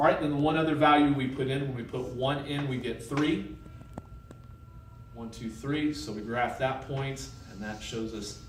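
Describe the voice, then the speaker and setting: Medium-pitched male voice with audible room echo and noticeable background noise. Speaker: math teacher. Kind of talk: lecture.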